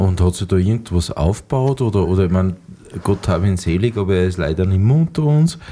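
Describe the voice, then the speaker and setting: A man with a very deep, low pitch and a dark, mellow tone talks at a very fast pace, with lively intonation and very even loudness. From Austria, Mühlviertel (Upper Austria). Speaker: podcast host, cook and musician. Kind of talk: casual interview.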